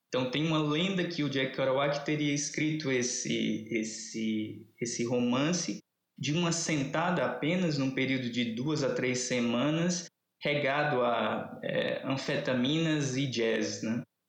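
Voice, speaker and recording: Very even in loudness, a man speaks at a very slow pace with ordinary pitch variation. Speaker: literature professor. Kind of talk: casual interview. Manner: animated.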